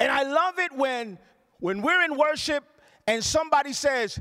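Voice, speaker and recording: Animated and raised to project, the voice moves at a moderate pace with very wide pitch swings. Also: man. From Puerto Rico. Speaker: pastor. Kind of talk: sermon. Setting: church. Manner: loud.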